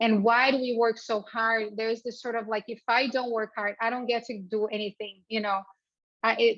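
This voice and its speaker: A woman's fairly high voice in a Portuguese accent, with monotone, flat intonation. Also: moderate pace. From Brazil. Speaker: entrepreneur. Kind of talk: speaker series talk.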